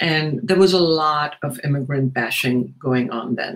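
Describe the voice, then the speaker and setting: This man's voice is somewhat breathy and sits at a fairly high pitch. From India. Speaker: novelist and professor. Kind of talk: interview.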